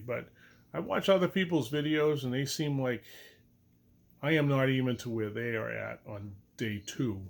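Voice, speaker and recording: This man talks at a moderate pace with a medium pitch and ordinary pitch variation. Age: 60s. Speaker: knee replacement patient vlogger. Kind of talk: casual video diary. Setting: in bed at home. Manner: casual, rambling.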